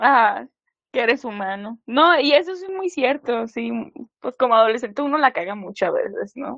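A woman's high voice with a Mexican accent, moderate pace, lively intonation and big swings in loudness. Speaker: podcast co-host. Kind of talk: casual chat. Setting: studio.

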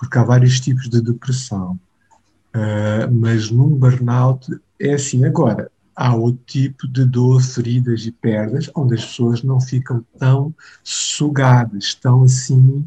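With fairly even intonation and a medium pitch, a man speaks very slowly in a dark, mellow, somewhat breathy voice. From Mozambique, Maputo. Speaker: pastor. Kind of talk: interview conversation. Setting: remote call.

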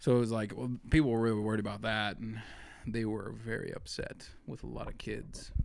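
A man with an American accent speaks at a medium pitch and a fairly quick pace. His pitch varies in an ordinary way, and there is audible room echo. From Eastern Montana. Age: 20s. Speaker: artist and entrepreneur. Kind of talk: casual chat.

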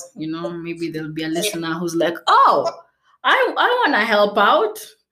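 An animated woman at a moderate pace, with very wide pitch swings and audible room echo. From Kenya. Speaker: podcast host, travel photographer. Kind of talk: casual interview chat. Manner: animated, laughing often.

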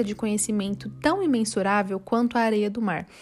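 Over noticeable background noise, a woman with a warm tone and fairly high pitch talks at a moderate pace with ordinary pitch variation. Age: 20s. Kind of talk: devotional talk. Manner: warm, conversational.

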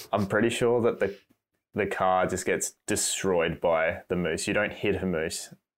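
On a very clean recording with a silent background, a man with an Australian accent speaks fairly slowly in a fairly low pitch with fairly even intonation. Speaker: cinematographer and photographer. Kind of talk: casual chat.

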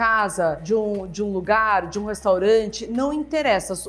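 Music plays in the background as a woman talks at a moderate pace. Her voice is fairly high, with an animated tone. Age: 50s. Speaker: YouTuber. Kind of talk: casual vlog monologue.

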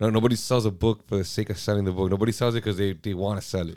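Over a silent background in a very clean recording, a man talks very fast in a fairly low voice with ordinary pitch variation. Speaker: podcast host, comic book seller. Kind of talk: casual chat.

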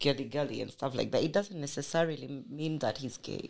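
A woman talks at a moderate pace with vocal fry. The recording is very clean, with a silent background. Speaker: author and columnist. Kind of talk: casual interview. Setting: studio. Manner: playful, witty.

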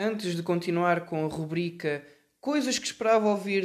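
A man speaks at a high pitch with fairly even intonation. He moves at a fairly quick pace. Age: 20s. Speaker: podcast host. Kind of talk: solo commentary monologue. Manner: hesitant, many filler sounds.

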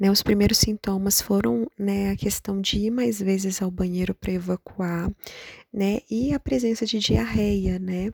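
A dark, mellow tone comes with some breathiness. Pitch shifts in an ordinary way at a fairly slow pace. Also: woman, medium pitch for a woman. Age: 30s. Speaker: patient sharing her illness story. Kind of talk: interview, personal testimony.

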